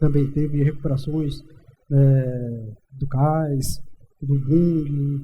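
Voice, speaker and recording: His tone dark and mellow, a man speaks somewhat breathily at a fairly high pitch with monotone, flat intonation. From Brazilian Northeast. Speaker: civil engineer. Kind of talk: interview. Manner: halting, many fillers.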